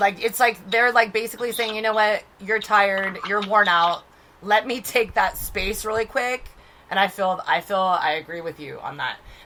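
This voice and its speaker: Noticeable background noise sits behind a woman's fairly high voice. She keeps a moderate pace with ordinary pitch variation. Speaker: podcast co-host, spiritual medium. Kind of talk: casual chat. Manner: animated.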